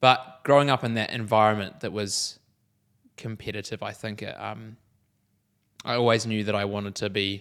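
A man speaks with a New Zealand accent at a fairly low pitch. His intonation stays fairly even, and the recording is very clean with a silent background. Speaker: podcast co-host. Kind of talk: interview, being interviewed. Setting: studio.

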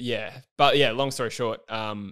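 A man uses a normal speaking voice at a medium pitch with ordinary pitch variation. The recording is very clean, with a silent background. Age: 20s. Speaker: football YouTuber and podcaster. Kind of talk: casual chat.

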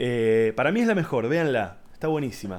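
A man speaks in an animated tone. His pitch swings very widely. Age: 30s. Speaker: podcast host, comedian. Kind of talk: casual monologue. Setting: home.

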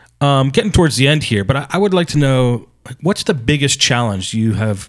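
Fairly quick in pace, a man speaks in a plain, everyday voice with ordinary pitch variation. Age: 40s. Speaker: podcast host. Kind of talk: interview.

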